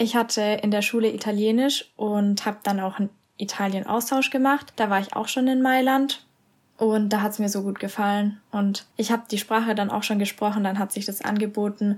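This woman has a fairly high pitch and a somewhat breathy voice. She talks at a moderate pace with fairly even intonation. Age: 20s. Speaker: university student. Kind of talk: casual interview.

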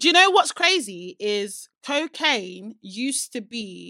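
Her voice is bright and sharp with an animated tone, the woman's pitch swinging very widely in a dry, close sound with no echo. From UK. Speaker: podcast co-host. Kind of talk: casual chat podcast banter. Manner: animated, talkative, laughs often.

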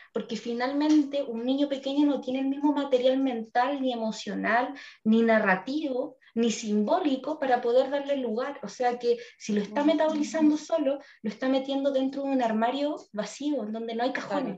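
A woman speaks with a Chilean accent in a high pitch and a dark, mellow tone. She keeps a moderate pace and fairly even intonation, with hardly any pauses. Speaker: psychologist podcast co-host. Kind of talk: casual chat.

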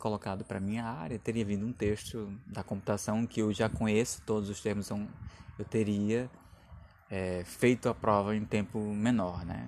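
The man's voice sits at a fairly low pitch and varies in pitch in an ordinary way. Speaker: podcaster and doctoral student. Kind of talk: casual solo podcast talk. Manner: hesitant, with fillers.

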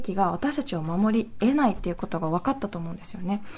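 Lively intonation from a somewhat breathy woman against a quiet background. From Nagasaki, Japan. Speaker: anti-nuclear activist. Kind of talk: interview.

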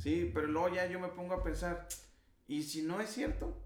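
Very wide pitch swings from a man, with room echo clearly audible. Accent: Mexican. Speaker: podcast host. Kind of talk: casual chat.

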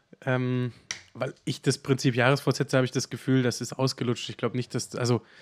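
Here is an ordinary speaking voice from a man. He talks at a fairly quick pace. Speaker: podcast co-host. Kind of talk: casual chat.

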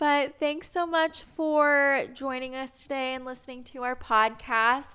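On a very clean recording with a silent background, a woman with an American accent uses a raised, projected voice, high in pitch and bright and sharp in tone, speaking at a fairly slow pace with fairly even intonation and hardly any pauses. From Indianapolis, Indiana, US Midwest. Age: 20s. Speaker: podcast co-host. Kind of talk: casual chat.

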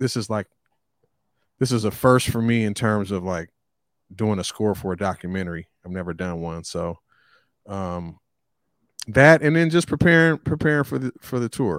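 A man talks in a fairly low voice with very wide pitch swings and long, frequent pauses. The very clean recording has a silent background and a dry, close sound with no echo. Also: moderate pace. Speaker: rapper. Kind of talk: casual interview.

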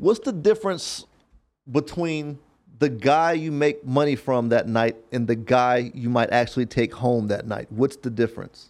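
A man with an unremarkable speaking voice and medium pitch uses lively intonation on a very clean recording with a silent background. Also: fairly slow pace. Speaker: podcast host. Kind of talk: casual interview chat.

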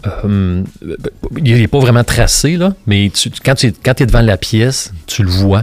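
A man talks at a very slow pace and medium pitch, with lively intonation and very even loudness. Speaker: sculptor. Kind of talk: casual interview. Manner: halting, many fillers.

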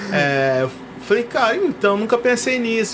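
Noticeable background noise sits under a man's voice. He moves at a moderate pace with very wide pitch swings. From Brazil, São Paulo state. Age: 30s. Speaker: musician and music teacher. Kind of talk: casual interview.

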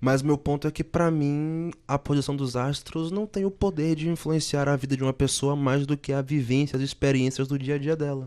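A man with a fairly high pitch and a dark, mellow tone speaks at a moderate pace with hardly any pauses. His loudness stays very even and his intonation fairly even over a quiet background. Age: 20s. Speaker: journalism student, skeptic. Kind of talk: debate on a student radio show.

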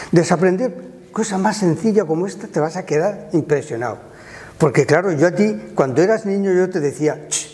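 A high-pitched male voice at a moderate pace, with ordinary pitch variation, big swings in loudness and noticeable background noise. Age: 70s. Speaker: retired primary school teacher. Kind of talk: casual interview.

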